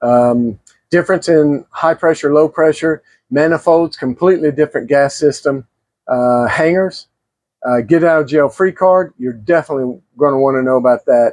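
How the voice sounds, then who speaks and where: A man's fairly high voice at a moderate pace, with very even loudness, ordinary pitch variation and a dry, close sound with no echo. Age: 60s. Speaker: plumbing and gas fitting instructor. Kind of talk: tutorial. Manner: unscripted, stumbles on words; casual, conversational.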